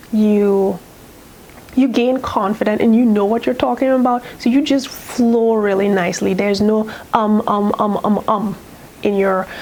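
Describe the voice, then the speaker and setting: A woman speaks with a fairly high pitch, fairly even intonation and very even loudness, at a fairly slow pace. Noticeable background noise is present. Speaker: sewing youtuber. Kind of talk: casual chat. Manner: chatty, rambling.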